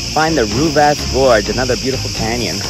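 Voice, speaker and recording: A man speaks in a dry recording with no echo over loud background noise. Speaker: solo hiker vlogger. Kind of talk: casual vlog chat. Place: open country. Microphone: phone near.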